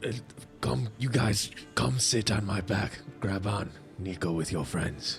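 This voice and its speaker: Over clear music in the background, a man puts on a raspy character voice, fairly low in pitch and fairly slow. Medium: actual play. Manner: direct, commanding.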